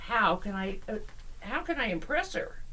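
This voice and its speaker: A woman's put-on character voice, fairly high with very wide pitch swings, over clear background noise. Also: moderate pace. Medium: read story. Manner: earnest.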